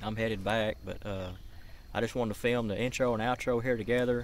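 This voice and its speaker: The sound is dry, with no echo. A man speaks at a very fast pace. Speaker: fishing vlogger. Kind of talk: casual vlog chat. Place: waterside. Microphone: phone near.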